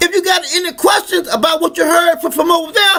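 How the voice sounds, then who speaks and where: Over noticeable background noise, a man speaks in a raised, projected voice at an extremely high pitch with ordinary pitch variation. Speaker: religious teacher. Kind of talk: sermon to camera.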